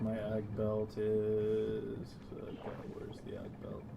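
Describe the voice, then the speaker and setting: Someone soft-spoken talks amid noticeable background noise. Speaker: gaming streamer. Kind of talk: casual gaming chat. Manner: soft-spoken, quiet on stream.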